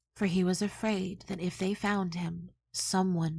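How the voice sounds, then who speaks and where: A woman speaks at a fairly slow pace in a somewhat breathy, dark, mellow, soothing tone with monotone, flat intonation. The recording is very clean, with a silent background. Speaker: audiobook narrator. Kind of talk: soothing ASMR audiobook narration of a children's story. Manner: soft, soothing, relaxing.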